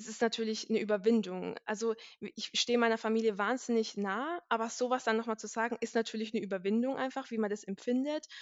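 A woman's fairly high voice at a very fast pace, with fairly even intonation and hardly any pauses. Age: 20s. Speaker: IT consultant, podcast guest. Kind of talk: casual chat.

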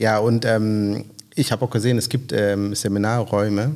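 Over a very clean recording with a silent background, a man with a non-native accent talks at a medium pitch and a fairly slow pace. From Kenya. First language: not German (speaking German). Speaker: podcast host. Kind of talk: casual interview. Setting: on location in a guest house. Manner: halting.

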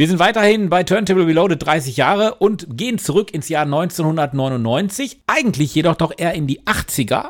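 A man with a high pitch speaks at a moderate pace in a playful, upbeat tone, with lively intonation and hardly any pauses. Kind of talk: radio DJ patter, show intros and song announcements. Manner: chatty, playful and jokey, with cheeky asides and teasing; upbeat, informal and promotional, addressing listeners directly.

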